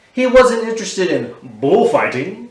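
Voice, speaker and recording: A man talks in an American accent. Audible room echo surrounds his voice. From Texas, Houston. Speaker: artist. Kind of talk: reading aloud. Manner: animated.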